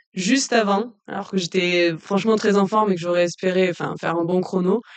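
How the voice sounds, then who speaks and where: A woman's medium-pitched voice moves fairly quickly, her intonation fairly even. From southern France, Lozère. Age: 20s. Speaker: trail runner. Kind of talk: casual interview. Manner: hesitant, many fillers.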